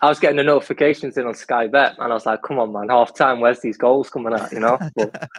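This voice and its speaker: A man talks very fast with a Mancunian accent and hardly any pauses. His medium-pitched voice has fairly even intonation over noticeable background noise. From Manchester, Stockport; lived in Ireland age 8 to 17. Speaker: football fan guest. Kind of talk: casual chat.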